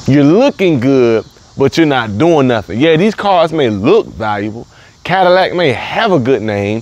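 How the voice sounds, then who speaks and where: With a Southern US accent, a man speaks at a moderate pace in a fairly high pitch, swinging very widely in pitch over noticeable background noise. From US South, the Carolinas. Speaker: motivational speaker. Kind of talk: motivational talk. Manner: repetitive, emphatic.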